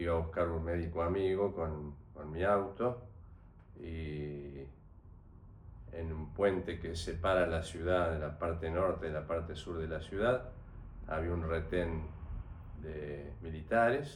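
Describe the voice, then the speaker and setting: A man with a very deep, low voice and a Rioplatense accent, very slow pace, long and frequent pauses, ordinary pitch variation, audible room echo. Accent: Argentine Rioplatense Spanish. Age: 70s. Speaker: retired doctor, dictatorship witness. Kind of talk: interview testimony. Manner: halting, with fillers.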